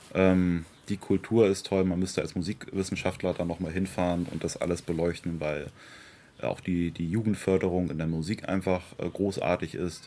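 The man's tone is dark and mellow. His pitch is very deep and low. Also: moderate pace. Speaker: local party politician. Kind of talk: interview. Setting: outdoors in a garden. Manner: animated.

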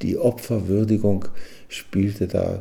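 A man talks in a very deep, low pitch that is somewhat breathy. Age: 80s+. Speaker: retired psychiatrist. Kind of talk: personal account recorded for radio. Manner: halting with fillers.

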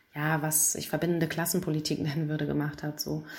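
Her voice is very deep and low for a woman, and she talks at a fairly quick pace. Audible room echo surrounds the woman's speech. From Hamburg, Germany. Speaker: lawyer and activist. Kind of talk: pre-recorded interview answer.

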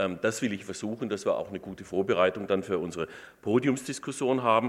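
A man with a plain, everyday voice speaks at medium pitch with ordinary pitch variation. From Württemberg, Stuttgart area. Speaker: professor of Islamic studies and law. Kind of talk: lecture.

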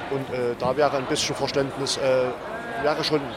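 Over noticeable background noise, a man speaks in a fairly high pitch with fairly even intonation. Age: 50s. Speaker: bus driver. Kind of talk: interview. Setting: outdoors. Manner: halting.

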